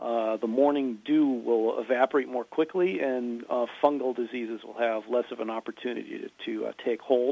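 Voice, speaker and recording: This man has an ordinary speaking voice at medium pitch and speaks with an American accent. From Massachusetts, US. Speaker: farmer and author. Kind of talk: interview.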